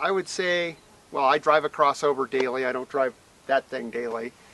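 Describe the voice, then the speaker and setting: A man with a normal speaking voice talks at a moderate pace with lively intonation. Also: dry, close sound with no echo. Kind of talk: casual vlog talk to camera. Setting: outdoors.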